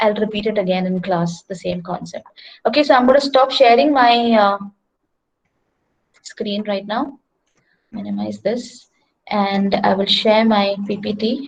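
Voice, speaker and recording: A somewhat breathy woman at medium pitch, with ordinary pitch variation, a fairly slow pace and long, frequent pauses. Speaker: engineering lecturer. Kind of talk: online lecture.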